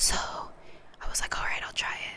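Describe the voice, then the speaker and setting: The speaker is whispering. Noticeable background noise is present. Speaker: ASMR content creator. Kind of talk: casual talk to camera, ASMR mukbang chit-chat. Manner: whispered, soft-spoken.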